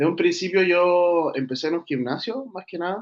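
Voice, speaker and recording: In a Chilean accent, a man speaks at a moderate pace with a fairly high pitch and ordinary pitch variation. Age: 20s. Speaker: streetlifting athlete. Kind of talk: interview.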